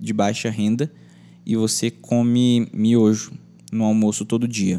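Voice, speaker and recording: In a very clean recording with a silent background, a man speaks in a fairly low pitch with a dark, mellow tone and monotone, flat intonation. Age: 20s. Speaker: YouTuber and podcaster. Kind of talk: casual monologue.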